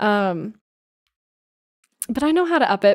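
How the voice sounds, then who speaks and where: A woman with an American accent. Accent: slight Valley Girl, Puget Sound style. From US Pacific Northwest, Seattle. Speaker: streamer. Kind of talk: casual live stream chat.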